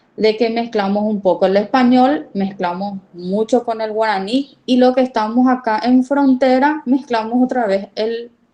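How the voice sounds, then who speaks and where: A woman speaks at a moderate pace with a dark, mellow tone and a fairly high pitch. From Paraguay, border region. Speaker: university lecturer. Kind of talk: lecture.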